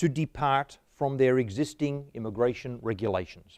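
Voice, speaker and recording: A fairly high-pitched man with an Australian accent, speaking at a fairly slow pace. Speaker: history professor. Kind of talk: lecture.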